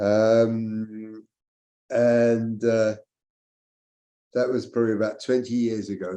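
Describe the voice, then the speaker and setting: A man speaks at a very slow pace with long, frequent pauses, his medium-pitched voice dark and mellow in tone and his intonation flat and monotone. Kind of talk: interview. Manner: loud.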